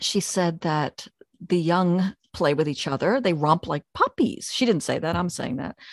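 With an American accent, a woman talks at a fairly slow pace in a normal speaking voice, fairly low-pitched with ordinary pitch variation, the sound dry and close with no echo. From US Northeast, Pennsylvania/New Jersey area. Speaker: podcast host, author and dog trainer. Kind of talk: casual interview chat.

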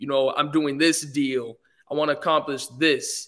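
A man talks at a fairly high pitch. His tone comes across as bright and sharp. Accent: American. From Los Angeles, US (early childhood in London). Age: young. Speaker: musician and entertainer. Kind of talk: interview.

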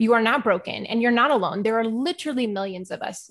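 This woman has an ordinary speaking voice and an American accent. Her pitch is fairly high, with ordinary pitch variation. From Texas, Houston. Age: 30s. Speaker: ADHD coach for moms, podcaster. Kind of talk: interview.

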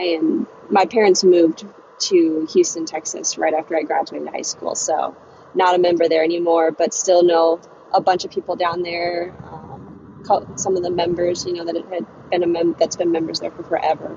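A woman with an American accent speaks at a fairly low pitch in a monotone, flat delivery. Noticeable background noise runs under her voice. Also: moderate pace. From Virginia (Chesapeake). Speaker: professional golfer. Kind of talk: interview. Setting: phone call from a car while driving.

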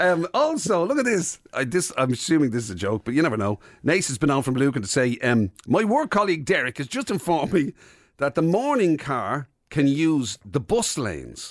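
A man speaks at a moderate pace in an Irish accent, his voice fairly high with very wide pitch swings. The recording is very clean, with a silent background. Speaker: radio host. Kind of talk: casual chat.

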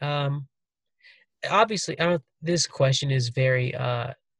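The speaker is a man with a medium pitch. His voice is somewhat breathy, with ordinary pitch variation. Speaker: podcast host. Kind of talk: casual interview chat. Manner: casual, joking, chatty.

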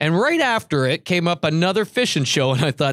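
On a very clean, silent-background recording with a dry, close sound and no echo, a man talks at a fairly quick pace with a fairly high pitch and very wide pitch swings. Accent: Canadian. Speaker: podcast host. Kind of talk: casual chat. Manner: loud; jokey, laughs often.

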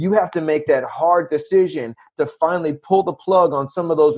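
In a normal speaking voice with an American accent, a man talks at a fairly high pitch. His intonation stays fairly even. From San Diego, California. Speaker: podcast host. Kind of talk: casual interview chat.

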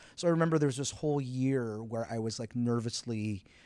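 A man with a Canadian accent talks at a very fast pace and medium pitch, his intonation lively, in a very clean recording with a silent background. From Quebec, Canada. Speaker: playwright and director. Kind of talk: interview. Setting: theater venue.

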